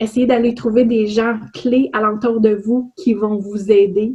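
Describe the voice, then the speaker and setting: Very slowly and somewhat breathily, a woman with a Quebec accent speaks at a fairly high pitch with fairly even intonation. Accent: Québécois French. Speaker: HR consultant and trainer. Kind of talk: webinar presentation. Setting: online webinar.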